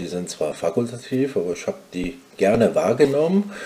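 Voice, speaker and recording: Delivery moves at a moderate pace. Pitch rises and falls very widely. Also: man. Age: 50s. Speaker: nurse manager and graduate. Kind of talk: interview.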